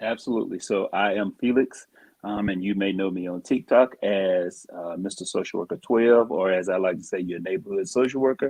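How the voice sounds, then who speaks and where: With an American accent, a man speaks at a fairly quick pace in a fairly low voice, showing ordinary pitch variation and hardly any pauses. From US South. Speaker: social worker. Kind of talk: casual chat. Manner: halting, many fillers.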